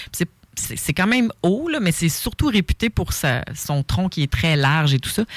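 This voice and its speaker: Speech in a Quebec accent, with very wide pitch swings at a fairly slow pace. The sound is dry and close, with no echo. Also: woman, fairly low pitch for a woman. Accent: Québécois French. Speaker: author and survival instructor. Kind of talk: casual chat.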